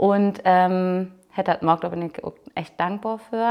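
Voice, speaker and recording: At a medium pitch, a woman uses an ordinary speaking voice with ordinary pitch variation. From northern Germany, Low German speaking. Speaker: Low German language coordinator, podcast host. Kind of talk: casual interview chat. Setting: open-air museum farmhouse.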